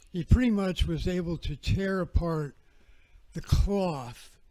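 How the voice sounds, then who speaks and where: A man's somewhat breathy, dark, mellow voice at a fairly slow pace, with ordinary pitch variation. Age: 70s. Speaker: researcher and speaker on prehistory. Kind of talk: lecture. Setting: festival talk streamed on video call.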